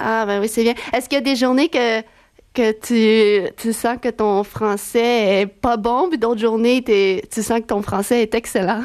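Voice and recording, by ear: A woman's fairly high voice with a clear, smooth and slightly mellow tone. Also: fairly even intonation, fairly slow pace.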